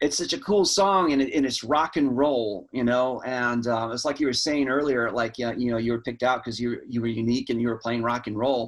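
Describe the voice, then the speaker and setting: The speaker moves at a fairly quick pace with hardly any pauses. Pitch varies in an ordinary way. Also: man, medium pitch for a man. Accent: American. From US South. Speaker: interview host. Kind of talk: casual interview.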